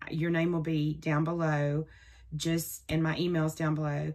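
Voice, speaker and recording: A woman talks at a moderate pace in a very deep, low pitch. The recording is very clean, with a silent background. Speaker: crafting vlogger. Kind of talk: casual vlog talk. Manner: chatty.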